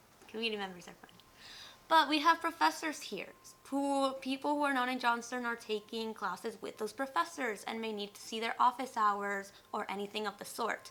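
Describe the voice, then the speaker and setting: Bright and sharp in tone, a woman with a Spanish accent talks fairly quickly at a fairly high pitch, with lively intonation and big swings in loudness. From Mexico and southern California. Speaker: college student. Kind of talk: interview.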